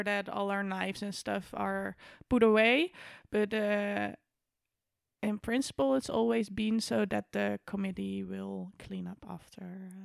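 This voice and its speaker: Over a silent background in a very clean recording, a woman with a Dutch accent speaks at a fairly slow pace with big swings in loudness. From Netherlands. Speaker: university student, student committee member. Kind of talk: casual chat.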